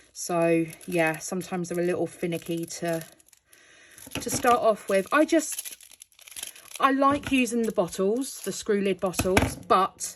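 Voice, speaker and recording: With a British accent, a woman speaks at a fairly slow pace and medium pitch, with very wide pitch swings and long, frequent pauses. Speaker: crafting youtuber. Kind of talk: casual tutorial. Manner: casual, hesitant with fillers.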